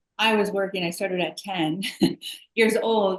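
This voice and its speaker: Using fairly even intonation, a woman speaks with a US Midwestern accent. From US Midwest, Chicago suburbs. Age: 50s. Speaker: healthcare entrepreneur. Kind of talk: interview.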